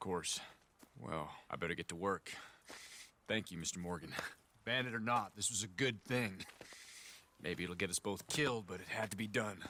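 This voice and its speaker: Putting on a raspy character voice, a man speaks at a fairly low pitch and moderate pace with ordinary pitch variation and long, frequent pauses. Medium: video game.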